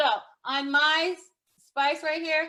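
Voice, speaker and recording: With a bright, sharp tone, a woman speaks in a raised, projected voice. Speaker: professional organizer. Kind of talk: tutorial. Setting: video call.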